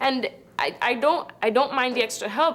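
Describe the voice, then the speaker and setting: A woman with a Spanish accent, ordinary pitch variation, and noticeable background noise. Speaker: student. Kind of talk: testimony. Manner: halting, frequent repetitions.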